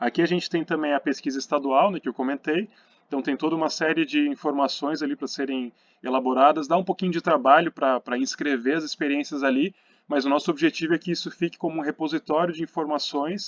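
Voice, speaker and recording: Over a quiet background, the voice moves at a very fast pace with fairly even intonation in a dry, close sound with no echo. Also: man, fairly high pitch for a man. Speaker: architecture council commission presenter. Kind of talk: presentation. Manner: hesitant with many fillers.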